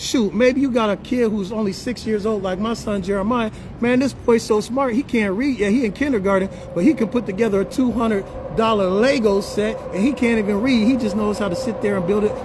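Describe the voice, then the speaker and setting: Here a man speaks at a fairly quick pace with a high pitch and an animated tone. There is noticeable background noise behind him. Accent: American. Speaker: livestream host and business promoter. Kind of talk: sales pitch. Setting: live stream. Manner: fast.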